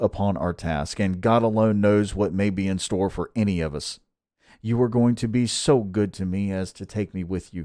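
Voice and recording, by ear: Against a quiet background, a passage is read aloud in a natural voice.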